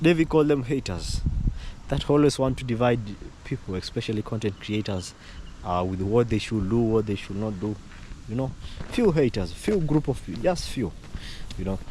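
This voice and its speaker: Moderate pace with long, frequent pauses, in an East African accent. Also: man, medium pitch for a man, lively intonation. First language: Swahili. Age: young. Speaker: vlogger. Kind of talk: casual vlog commentary. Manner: halting, many repetitions and fillers.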